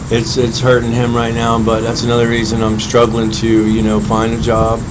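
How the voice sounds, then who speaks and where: A man with an American accent speaks at a fairly quick pace and medium pitch in a flat monotone, with audible room echo and noticeable background noise. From central Florida. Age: 30s. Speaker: homeless man. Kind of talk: interview.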